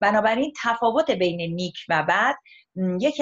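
A somewhat breathy woman at a moderate pace, quiet background. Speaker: guest. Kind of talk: interview answer. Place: home room. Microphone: video call.

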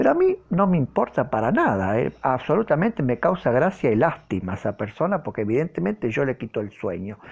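The speaker moves at a fairly quick pace with hardly any pauses, over a quiet background. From Argentina. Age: 40s. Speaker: tarot reader. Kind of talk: tarot reading monologue to camera. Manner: hesitant, many fillers. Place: home room. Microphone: phone near.

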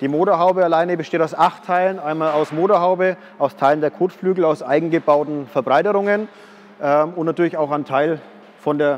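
Talking at a fairly quick pace, a man with a high pitch keeps his intonation fairly even. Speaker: car salesman presenting his project car. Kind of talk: presentation to camera. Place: workshop. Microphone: lapel.

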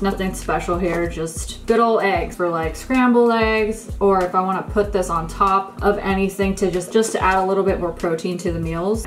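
Over clear music in the background, a woman talks at a moderate pace with hardly any pauses. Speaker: lifestyle vlogger. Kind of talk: casual haul chat. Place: kitchen.

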